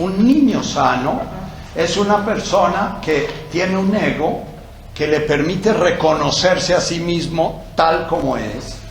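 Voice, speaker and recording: A man with a high voice speaks very slowly, with audible room echo and noticeable background noise. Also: ordinary pitch variation. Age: old. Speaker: psychiatrist and former priest giving talks. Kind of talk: lecture. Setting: talk with microphone and audience. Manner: hesitant fillers.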